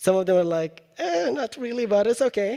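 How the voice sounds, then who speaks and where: A man with an Arabic accent, at a moderate pace. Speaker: university educator presenting at a teaching event. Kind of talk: presentation with software demo. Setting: live event with audience. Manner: casual, with many fillers.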